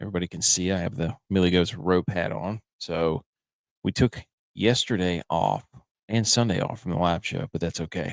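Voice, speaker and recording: A man's very deep, low voice at a moderate pace, with ordinary pitch variation and a dry, close sound with no echo. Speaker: sports podcast host. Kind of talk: casual chat. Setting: top floor of a vacation house. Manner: quieter than usual.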